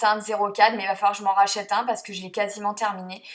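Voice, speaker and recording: A woman speaks over noticeable background noise. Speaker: beauty vlogger. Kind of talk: makeup tutorial voice-over. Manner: hesitant, many fillers.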